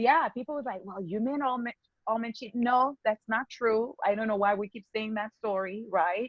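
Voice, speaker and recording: A woman with a slight non-native accent speaks at a moderate pace in a fairly high voice, her loudness swinging widely. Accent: slight foreign. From Haiti. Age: 40s. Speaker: skincare business owner. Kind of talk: podcast interview.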